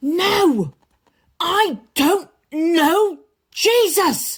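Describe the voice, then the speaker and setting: Using a put-on character voice, a woman pitches it extremely high. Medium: read story. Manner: eager, blurting.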